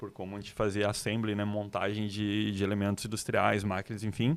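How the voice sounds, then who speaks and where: With a southern Brazilian accent, a man talks at a fairly quick pace in a fairly low pitch. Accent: gaúcho. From Rio Grande do Sul, Brazil (Novo Hamburgo). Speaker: designer. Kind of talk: podcast interview.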